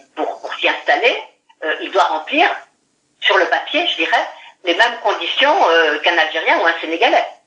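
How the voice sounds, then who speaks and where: A woman speaks with audible room echo. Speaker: law professor. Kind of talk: interview explanation.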